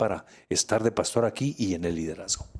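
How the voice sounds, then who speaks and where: A man with an unremarkable speaking voice, fairly low in pitch and with ordinary pitch variation, is heard on a very clean recording with a silent background. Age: 60s. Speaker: pastor. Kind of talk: interview testimony.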